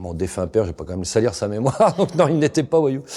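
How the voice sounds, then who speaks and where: A man's fairly quick delivery with very wide pitch swings, set against noticeable background noise. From Paris region, Seine-Saint-Denis (93). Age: 50s. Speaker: investigative journalist. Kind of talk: interview. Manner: casual, colloquial with hesitations.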